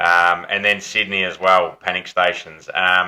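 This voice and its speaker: This man speaks with an Australian accent. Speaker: football podcast host. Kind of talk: casual chat.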